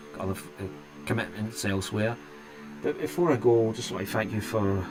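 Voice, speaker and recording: Lively intonation runs through the speech while music plays in the background. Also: man, fairly low pitch for a man, fairly quick pace. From Scotland. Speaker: tech YouTuber streaming games. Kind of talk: live stream chat. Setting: live stream. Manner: halting, self-interrupting.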